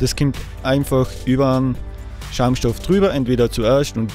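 A man with a slight Austrian accent at a medium pitch and moderate pace, with fairly even intonation, dry sound with no echo, and faint music in the background. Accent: light Austrian dialect. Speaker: woodcarver, sculptor. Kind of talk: tutorial talk to camera. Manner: casual, hesitant with fillers. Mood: relaxed, casual.

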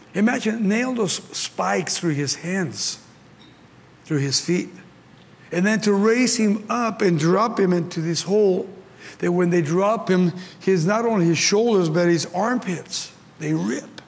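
A high-pitched man with a Mexican accent, fairly slow and full of long, frequent pauses, with ordinary pitch variation. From Mexico. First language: Spanish. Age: 70s. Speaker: pastor. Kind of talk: sermon. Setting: stage with audience. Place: hall.

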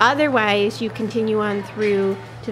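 With music playing behind her, a woman talks at a moderate pace. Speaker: shopping vlogger. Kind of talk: casual vlog chat. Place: shop. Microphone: phone near.

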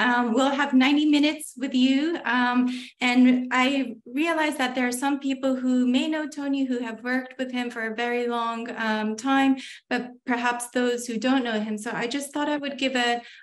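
Speaking at a moderate pace, a woman uses a high pitch and fairly even intonation. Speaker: host of an academic webinar. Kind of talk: lecture introduction. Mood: warm, respectful. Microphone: video call.

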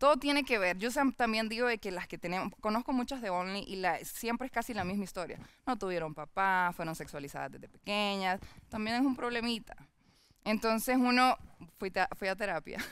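Speaking at a fairly quick pace, a woman uses lively intonation at a medium pitch, in dry sound with no echo. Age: 20s. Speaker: online content creator. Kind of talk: casual interview chat. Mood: candid, personal, reflective. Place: studio. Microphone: headset.

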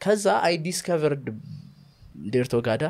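Against a quiet background, a man with a fairly high voice speaks with lively intonation. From Ethiopia. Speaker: comedian and creative director; comedian. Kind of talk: casual chat. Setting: studio. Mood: relaxed, friendly. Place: studio. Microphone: studio mic.

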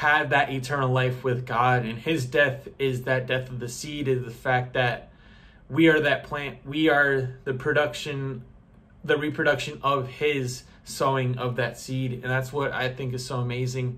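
A man with a medium pitch and a bright, sharp tone speaks at a fairly slow pace in monotone, flat intonation. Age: 20s. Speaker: youtuber sharing bible teaching. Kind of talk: casual bible teaching monologue. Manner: casual with false starts. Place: home room. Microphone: phone near.

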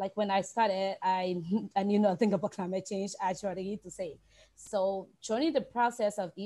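A woman with a dark, mellow tone speaks at a moderate pace with fairly even intonation. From Liberia. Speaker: environmental agency officer; panelist. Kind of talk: panel discussion. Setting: video call. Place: home room. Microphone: earbuds.

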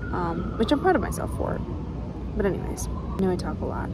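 A woman at a fairly quick pace amid noticeable background noise. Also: dry sound with no echo. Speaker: vlogger. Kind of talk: casual vlog chat. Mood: earnest, reflective, personal. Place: forest. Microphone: phone near.

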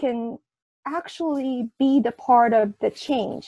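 Against a quiet background, a woman speaks very slowly in a high voice with a dark, mellow tone. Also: dry sound with no echo. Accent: Japanese. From Japan, Kyoto; Japan. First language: Japanese. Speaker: prenatal memory researcher; interview guest. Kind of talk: interview. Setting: video call. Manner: halting. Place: home room. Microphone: video call.

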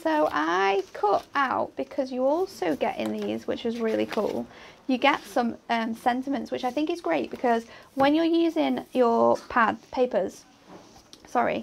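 With an English accent, a woman speaks at a fairly slow pace. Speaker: craft demonstrator. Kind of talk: craft tutorial. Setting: studio.

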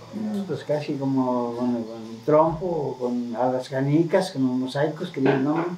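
Light background noise is audible as a man speaks at a very slow pace with hardly any pauses. His pitch is fairly high with ordinary variation. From Mexico, Jalisco (Los Altos, San Miguel el Alto). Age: 70s. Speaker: elderly local resident. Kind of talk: interview. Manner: halting. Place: home room. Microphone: camera far.

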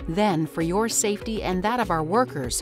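Background music accompanies the recording. Over it, a woman speaks at a moderate speed. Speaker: voice actor. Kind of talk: corporate narration.

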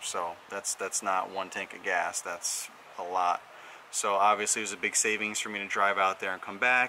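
A man with a fairly low pitch talks at a moderate pace. His intonation is monotone and flat, over light background noise. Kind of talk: casual vlog chat. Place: street. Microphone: phone near.

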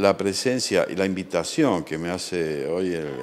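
Over noticeable background noise, a man speaks fairly slowly at a very deep, low pitch with ordinary pitch variation. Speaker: war veteran, retired fighter pilot. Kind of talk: interview. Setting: legislature building. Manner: hesitant with fillers.

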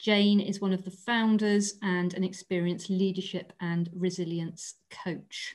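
Against a quiet background, a woman speaks in a somewhat breathy voice with fairly even intonation. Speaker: webinar host, employment lawyer. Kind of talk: webinar introduction. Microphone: video call.

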